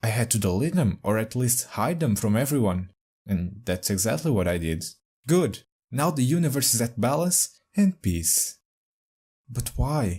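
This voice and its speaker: Speaking with a non-native accent at a fairly slow pace, the somewhat breathy voice has very wide pitch swings and very even loudness on a very clean recording with a silent background. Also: man, medium pitch for a man. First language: not English. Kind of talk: casual talk to camera.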